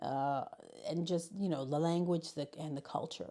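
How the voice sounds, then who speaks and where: A woman speaks at a fairly low pitch with fairly even intonation. Her tone is dark and mellow. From US Northeast, Bronx, New York City, Puerto Rican family. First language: Spanish. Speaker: high school learning specialist. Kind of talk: interview. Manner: halting.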